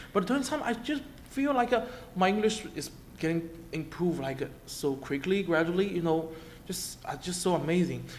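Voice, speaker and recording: A man with a high voice talks at a fairly quick pace, his pitch swinging very widely, and the room echo is audible. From China, Shanghai. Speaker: international student. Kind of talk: testimony. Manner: halting, many repetitions and fillers.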